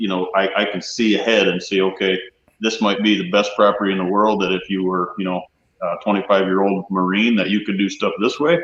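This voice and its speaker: In a plain, everyday voice, a man speaks at a fairly quick pace with fairly even intonation. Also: fairly low pitch for a man. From Michigan. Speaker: habitat consultant, former hunting guide. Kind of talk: casual interview chat. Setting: livestream panel.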